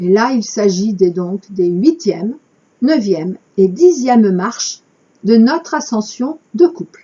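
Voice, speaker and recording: Somewhat breathy, a woman with fairly high pitch speaks at a very slow pace, her pitch swinging very widely. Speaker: spiritual channel host. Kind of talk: reading aloud with commentary.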